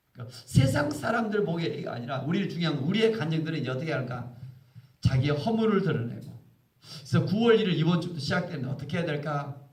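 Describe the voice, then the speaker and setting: Audible room echo surrounds a man speaking at a very fast pace. His fairly high pitch moves with lively intonation. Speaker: pastor. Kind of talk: sermon.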